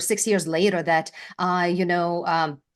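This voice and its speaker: Over a quiet background, a woman speaks at medium pitch with fairly even intonation. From Lithuania. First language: Lithuanian. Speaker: brand presence strategist, former news anchor. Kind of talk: interview.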